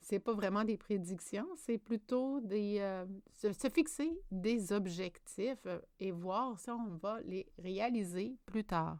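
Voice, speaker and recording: A woman's very slow delivery with hardly any pauses and ordinary pitch variation. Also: medium pitch for a woman. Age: 50s. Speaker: spiritual wellness vlogger. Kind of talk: personal monologue. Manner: hesitant, many filler sounds.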